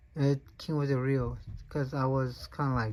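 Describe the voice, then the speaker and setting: This speaker talks at a moderate pace. A non-native accent is present. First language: not English. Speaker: fishing reel reviewer. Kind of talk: product unboxing review. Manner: halting, many fillers.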